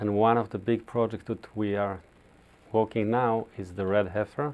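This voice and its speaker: A man speaks at a moderate pace with a non-native accent. His pitch is fairly low and his intonation fairly even. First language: Hebrew. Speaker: rabbi. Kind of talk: interview. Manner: halting.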